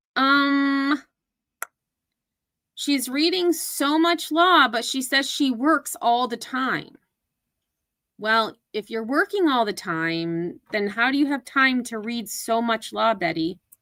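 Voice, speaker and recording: A woman with an American accent speaks very slowly in a raised, projected, high-pitched voice, her pitch swinging very widely between long, frequent pauses. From upstate New York, US Northeast. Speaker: commentary YouTuber. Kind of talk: livestream commentary reacting to clips. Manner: casual, conversational.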